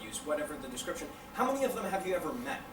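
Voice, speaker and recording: A man with a Canadian accent, high in pitch with very wide pitch swings, amid audible room echo and noticeable background noise. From Canada. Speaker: invited lecturer. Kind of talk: Q&A after a lecture. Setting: university lecture hall with audience.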